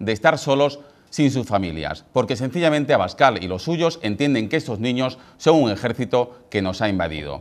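A man with an Andalusian accent speaks in an angry tone at a moderate pace. His pitch swings very widely, with vocal fry. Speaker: TV presenter. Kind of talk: TV editorial commentary. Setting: TV studio. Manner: angry, indignant, forceful. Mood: indignant, critical. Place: studio. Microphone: lapel.

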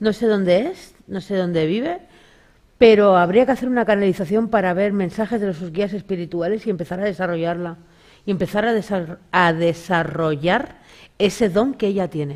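A woman's medium-pitched voice at a moderate pace, with ordinary pitch variation, over a quiet background. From Galicia, Spain. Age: 40s. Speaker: spiritual medium; talk show guest. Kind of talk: casual interview with audience readings. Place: studio.

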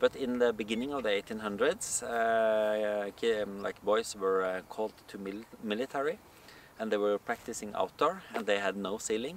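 A man's normal speaking voice at a fairly low pitch, with ordinary pitch variation, a moderate pace, light background noise and a dry sound with no echo. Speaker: folk dance teacher. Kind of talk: interview answer. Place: open country.

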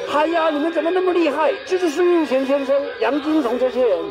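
Clear music plays in the background. Over it, a man talks at a moderate pace. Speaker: tour guide. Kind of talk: humorous guided tour talk. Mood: jokey, lively storytelling. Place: open country.

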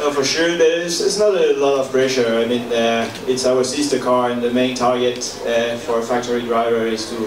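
The speech runs at a very fast pace. Loud background noise fills the recording. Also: man. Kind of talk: interview answer. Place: hall. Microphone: podium.

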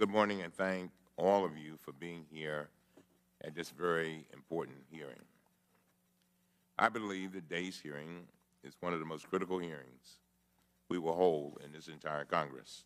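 Pausing long and often, a man speaks at a moderate pace in a very deep, low pitch with fairly even intonation. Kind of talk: formal opening statement. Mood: grave, emphatic. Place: hall. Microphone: podium.

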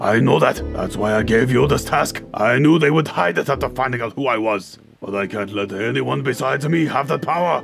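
Over clear music in the background, a man uses a put-on character voice. His pace is fairly quick and his pitch medium. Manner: cold, threatening.

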